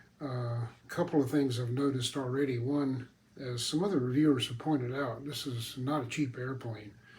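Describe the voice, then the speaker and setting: Amid noticeable background noise, a man at a medium pitch speaks at a moderate pace with fairly even intonation. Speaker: RC model airplane hobbyist reviewer. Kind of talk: product assembly tutorial. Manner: casual, relaxed.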